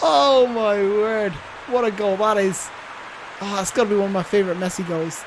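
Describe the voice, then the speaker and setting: At a moderate pace, a woman talks at a medium pitch in an animated tone with ordinary pitch variation. Noticeable background noise runs underneath. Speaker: YouTube gamer. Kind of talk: gaming commentary, live play-by-play of a football video game. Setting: home recording, gameplay voiceover. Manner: excitable, animated, gushing over Messi's goal with breathless exclamations.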